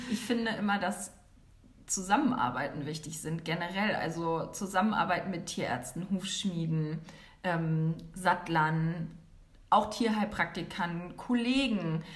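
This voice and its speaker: A woman with a fairly low voice and ordinary pitch variation speaks fairly slowly, with audible room echo and noticeable background noise. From northern Germany, near Hanover. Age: 30s. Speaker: equine therapist. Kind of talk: interview.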